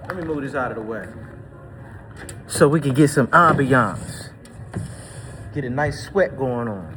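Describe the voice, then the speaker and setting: Over noticeable background noise and audible room echo, a man with an American accent speaks at a fairly slow, fairly high pitch in an energetic tone, with big swings in loudness, ordinary pitch variation and long, frequent pauses. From Washington DC. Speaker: personal trainer. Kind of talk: casual workout vlog talk. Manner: casual, energetic.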